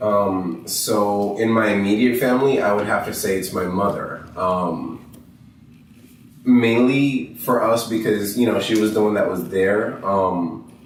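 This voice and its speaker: A man's fairly low voice with ordinary pitch variation, at a fairly slow pace, with audible room echo. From Dominican Republic. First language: Spanish. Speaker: interviewee. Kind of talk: interview.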